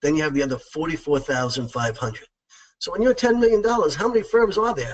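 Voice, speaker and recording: A man talks with a New York accent. His pitch swings very widely. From New York, Long Island. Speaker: accounting practice succession consultant. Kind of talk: webinar presentation. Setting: webinar, remote presentation.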